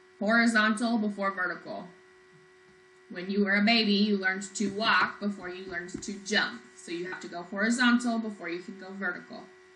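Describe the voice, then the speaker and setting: Over noticeable background noise and audible room echo, a woman's medium-pitched voice comes through. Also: fairly even intonation, fairly quick pace. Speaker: math teacher. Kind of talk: lecture.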